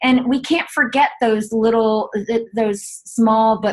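Somewhat breathy, a woman talks with a fairly high pitch and a slight Southern US accent. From Chapel Hill, North Carolina, US South. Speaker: author and wellness CEO. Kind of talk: casual interview.

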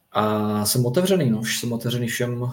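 An unremarkable speaking voice from a man at a medium pitch, with fairly even intonation and a moderate pace. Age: 30s. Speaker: floorball player. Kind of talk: casual chat.

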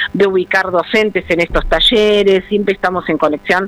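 Over music in the background, a woman speaks at a moderate pace and medium pitch with fairly even intonation. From Argentina, Buenos Aires province (San Vicente). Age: 50s. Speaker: ceramics teacher and trainer. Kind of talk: radio interview.

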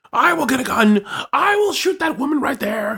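Shouting in a high pitch, a female-sounding voice performs a put-on character voice. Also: moderate pace. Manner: screaming, outraged.

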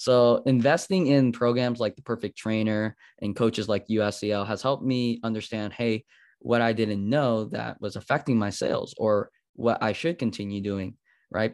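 This man speaks at a moderate pace and medium pitch with fairly even intonation, in an unremarkable speaking voice. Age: 20s. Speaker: marketing agency owner for fitness businesses. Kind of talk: podcast interview.

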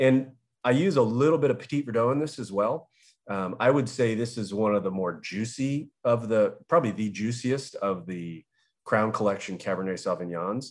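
Someone with an American accent talks in a normal speaking voice at a moderate pace, with lively intonation, on a very clean recording with a silent background. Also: man, medium pitch for a man. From Southern California. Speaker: winemaker. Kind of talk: interview.

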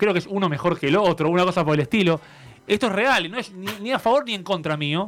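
With an Argentine accent, a man talks at a very fast pace in a high pitch with ordinary pitch variation. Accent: Rioplatense Argentine Spanish. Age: 30s. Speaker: radio music columnist. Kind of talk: casual chat.

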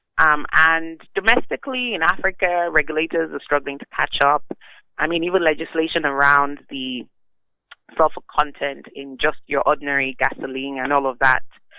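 A woman's voice with very deep, low pitch and ordinary pitch variation. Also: moderate pace. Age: 30s. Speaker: energy expert. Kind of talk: interview.

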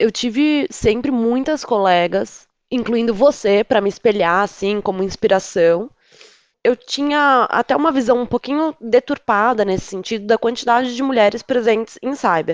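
A woman talks at a moderate pace with lively intonation and a fairly high pitch, in an unremarkable speaking voice. The sound is dry and close, with no echo. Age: 30s. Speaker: cybersecurity analyst. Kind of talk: casual chat.

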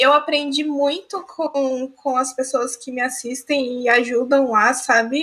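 A woman speaks at a very slow pace with hardly any pauses. Her high voice has a bright, sharp tone and ordinary pitch variation. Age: young. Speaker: student and streamer, podcast co-host. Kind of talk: casual chat.

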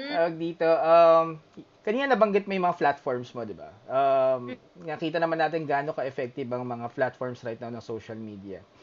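A man speaks in a plain, everyday voice, fairly high in pitch, at a fairly quick pace. His intonation is lively and his loudness swings widely. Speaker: podcast host. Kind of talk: casual interview.

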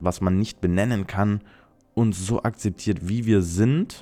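Keeping a moderate pace, a man speaks in a dark, mellow tone with fairly even intonation. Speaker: podcast host. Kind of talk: solo podcast monologue. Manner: chatty, talkative.

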